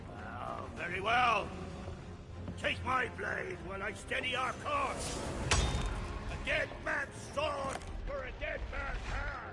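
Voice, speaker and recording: Over loud background noise, a man does a put-on character voice at a fairly slow pace. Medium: machinima. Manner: formal, archaic, declamatory.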